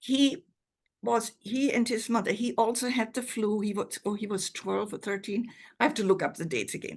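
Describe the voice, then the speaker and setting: Against a quiet background, a woman speaks in a fairly high pitch with vocal fry. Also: ordinary pitch variation, moderate pace. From Germany. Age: 80s+. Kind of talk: interview answer.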